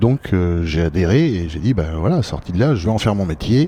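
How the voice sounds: Low-pitched and dark, mellow in tone, a man talks at a fairly quick pace with big pitch swings.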